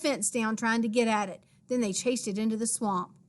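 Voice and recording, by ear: Someone is reading aloud in a natural voice. The delivery carries no other marks.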